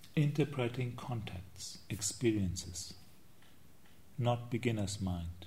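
The speaker goes at a very slow pace with long, frequent pauses, a somewhat breathy, dark, mellow tone, and ordinary pitch variation. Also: man, medium pitch for a man. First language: not English. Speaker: Buddhist monk and meditation teacher. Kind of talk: dharma talk. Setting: meditation retreat.

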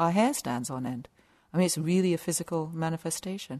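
Against a quiet background, the speech moves at a fairly quick pace with ordinary pitch variation and a dry, close sound with no echo. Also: woman. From southern England. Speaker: meditation teacher. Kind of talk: dharma talk. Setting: meditation retreat center.

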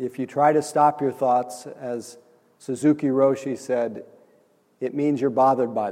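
This man has a dark, mellow tone at medium pitch, speaking at a moderate pace with fairly even intonation. The recording is very clean, with a silent background. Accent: American. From Nebraska, US Midwest. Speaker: meditation teacher. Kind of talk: dharma talk. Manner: halting.

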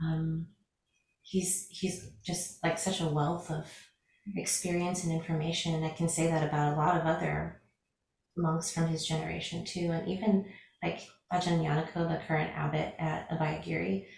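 Her pitch sits fairly low for a woman, and her intonation stays fairly even. She speaks at a moderate pace with vocal fry. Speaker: Buddhist monastic. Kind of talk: dharma discussion.

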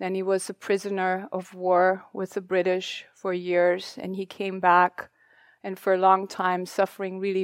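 The voice carries a German accent and moves at a fairly slow pace with monotone, flat intonation. The recording is very clean and dry, with a close sound, a silent background and no echo. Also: woman. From Germany. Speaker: meditation teacher. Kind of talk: dharma talk. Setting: retreat hall with audience.

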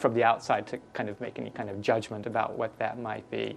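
In a normal speaking voice, a man at a medium pitch talks at a fairly quick pace with fairly even intonation. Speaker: Buddhist monk teacher. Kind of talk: dharma talk. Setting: retreat hall with audience. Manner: gentle, calm.

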